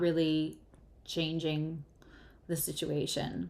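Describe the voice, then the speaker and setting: A woman speaks at a very slow pace. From US Northeast, New York. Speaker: tarot reader and astrologer. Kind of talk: live tarot reading. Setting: livestream. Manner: careful, deliberate.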